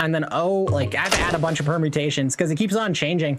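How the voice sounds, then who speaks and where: A man with ordinary pitch variation, against noticeable background noise. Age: 30s. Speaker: video game streamer. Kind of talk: live gameplay stream chat. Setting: live stream. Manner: casual, profane.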